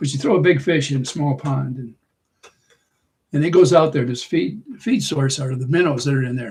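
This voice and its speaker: A man's somewhat breathy voice, fairly high in pitch. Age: 80s. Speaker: livestream host. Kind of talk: casual chat. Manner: halting.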